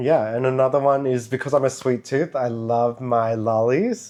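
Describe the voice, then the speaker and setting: A man with a strong Australian accent talks at medium pitch and a moderate pace over noticeable background noise. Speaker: vlogger. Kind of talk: casual chat.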